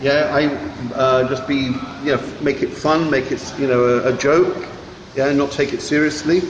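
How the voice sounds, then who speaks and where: A man speaks at a moderate pace in a fairly high pitch, with monotone, flat intonation and very even loudness. Noticeable background noise runs underneath. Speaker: English mentor. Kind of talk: role-play coaching, casual chat.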